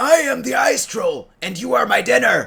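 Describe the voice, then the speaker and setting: The voice is a put-on character, pitched high. It moves at a moderate pace. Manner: menacing, gloating.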